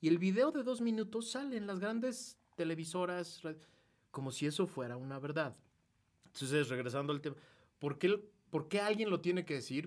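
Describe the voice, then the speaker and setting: A man's high-pitched, animated voice with very wide pitch swings, a moderate pace, and long, frequent pauses. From Mexico. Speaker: political activist and commentator. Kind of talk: casual chat.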